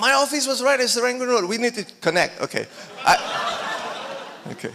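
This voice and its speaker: A man with a non-native accent talks against noticeable background noise. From Singapore. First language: not English. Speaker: filmmaker. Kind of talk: panel discussion.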